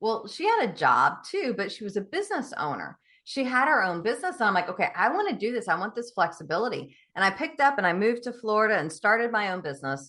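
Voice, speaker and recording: Against a quiet background, a woman with a Southern US accent talks at a very fast pace with hardly any pauses, using a fairly high pitch, very wide pitch swings, and a bright, sharp tone. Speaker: business coach. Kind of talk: podcast interview. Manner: animated.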